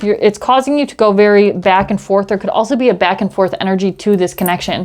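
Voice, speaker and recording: A woman at a very fast pace, with noticeable background noise behind her. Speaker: tarot reader. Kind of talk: tarot reading.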